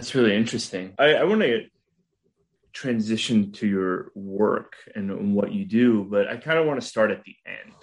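A normal speaking voice at a moderate pace, with ordinary pitch variation and big swings in loudness. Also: man, medium pitch for a man. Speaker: podcast interviewer. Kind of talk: interview.

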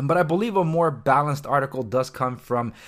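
A man's bright, sharp voice with ordinary pitch variation, on a very clean recording with a silent background. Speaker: real estate agent podcaster. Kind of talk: solo podcast commentary.

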